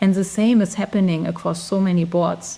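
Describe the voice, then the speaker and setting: A woman with a German accent, medium pitch, moderate pace and monotone, flat intonation. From Germany. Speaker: recruiter, expat interviewee. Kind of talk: interview. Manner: halting, many fillers.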